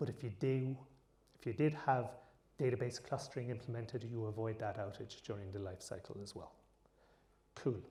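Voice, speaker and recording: With an Irish accent, a man talks fairly quickly in a dark, mellow, somewhat breathy voice at medium pitch with ordinary pitch variation, leaving long, frequent pauses amid audible room echo. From Ireland. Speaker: tech conference speaker. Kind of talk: conference talk.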